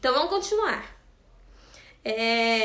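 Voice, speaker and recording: A woman speaks fairly slowly with very wide pitch swings, and audible room echo surrounds her voice. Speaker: bible study teacher. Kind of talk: bible study lesson.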